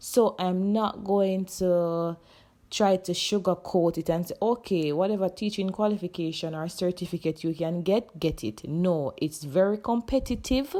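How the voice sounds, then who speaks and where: With a Jamaican accent, a woman talks at a moderate pace in a dark, mellow tone, medium in pitch with ordinary pitch variation, in a very clean recording with a silent background. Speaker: high school teacher. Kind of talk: casual talk to camera.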